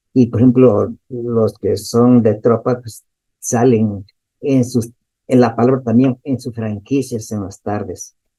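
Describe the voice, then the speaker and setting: His tone dark and mellow, a man talks at a fairly slow pace with monotone, flat intonation. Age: 70s. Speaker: audience participant, recent graduate. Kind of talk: question and comment.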